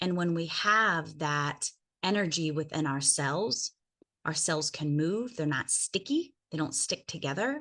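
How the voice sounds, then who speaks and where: At a fairly slow pace, a woman speaks in a very deep, low pitch with ordinary pitch variation, a bright, sharp tone and very even loudness against a quiet background. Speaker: wellness network marketer. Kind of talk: live stream talk.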